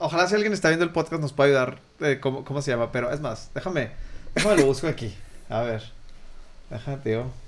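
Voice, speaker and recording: Speaking at a very fast pace yet with long, frequent pauses, a man with a fairly high pitch uses lively intonation. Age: 30s. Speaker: podcast host. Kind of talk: casual interview chat. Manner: halting, many repetitions.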